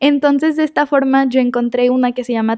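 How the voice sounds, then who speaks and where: Delivered at a moderate pace, the speech is monotone and flat, with a dry, close sound and no echo. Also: woman. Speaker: student selected for space program. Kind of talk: interview.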